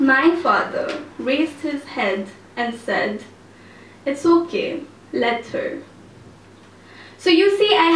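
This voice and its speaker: Intonation is lively. Noticeable background noise is present. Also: woman. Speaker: spoken word poet. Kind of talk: live spoken word poetry performance. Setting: cafe, live audience.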